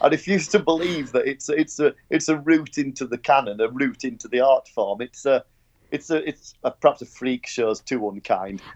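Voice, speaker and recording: A man with a Yorkshire accent talks at a moderate pace and fairly high pitch, with ordinary pitch variation and a dry, close sound with no echo. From Yorkshire, northern England. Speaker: podcast panelist. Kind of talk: casual chat. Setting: Skype call.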